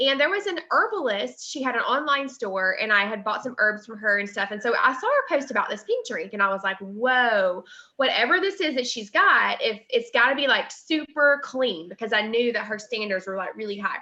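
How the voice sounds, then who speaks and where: A woman with a Southern US accent speaks in a raised, projected voice at a moderate pace. Her high pitch swings very widely, and her tone is bright and sharp. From US South. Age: 30s. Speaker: network marketing distributor. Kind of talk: testimony. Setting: livestream webinar. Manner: casual, many fillers.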